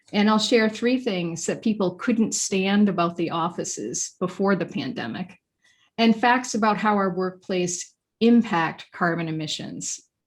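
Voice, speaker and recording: A woman with an American accent and medium pitch speaks at a fairly slow pace, somewhat breathy, in a very clean recording with a silent background. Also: ordinary pitch variation. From Maine, US. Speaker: featured speaker on workplace design. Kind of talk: presentation to a professional association. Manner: formal.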